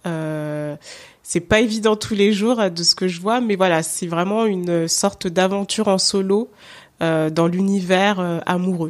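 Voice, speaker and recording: A woman speaks in a plain, everyday voice at medium pitch and a fairly slow pace, her intonation fairly even, on a very clean recording with a silent background. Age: 30s. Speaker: podcaster. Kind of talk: interview.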